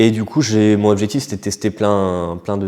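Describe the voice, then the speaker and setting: The man's pitch sits fairly low. He takes a fairly slow pace. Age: 30s. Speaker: breathwork practitioner. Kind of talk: interview answer. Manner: hesitant, casual.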